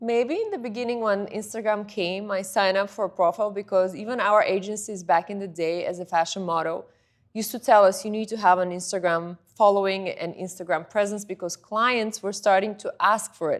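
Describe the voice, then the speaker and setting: A woman speaks in a Bulgarian accent at a moderate pace and medium pitch, with ordinary pitch variation. The recording is very clean, with a silent background. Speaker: model and influencer. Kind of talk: interview.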